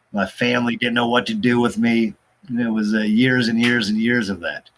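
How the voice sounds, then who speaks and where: Fairly quick speech with an American accent and fairly even intonation. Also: man, medium pitch for a man. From US Pacific Northwest, Portland, Oregon. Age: 40s. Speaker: addiction recovery counselor. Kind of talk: interview about personal recovery. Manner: halting, many fillers.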